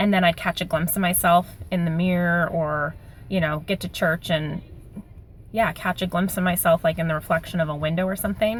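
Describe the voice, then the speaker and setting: A somewhat breathy woman's voice, fairly low in pitch, with fairly even intonation at a fairly quick pace. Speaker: vlogger sharing weight loss surgery update. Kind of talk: casual video diary. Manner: fast.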